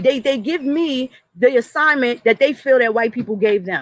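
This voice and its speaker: An animated tone comes through in a New York accent. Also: woman. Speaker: commentary vlogger. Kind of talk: impassioned monologue.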